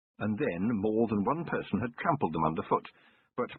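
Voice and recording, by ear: Read aloud in a natural voice, the passage has lively intonation.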